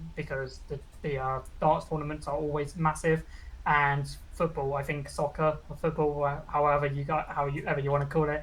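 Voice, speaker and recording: A woman with a British accent talks at a fairly quick pace in a very deep, low, somewhat breathy voice with monotone, flat intonation. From UK. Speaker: VTuber. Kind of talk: interview. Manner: casual.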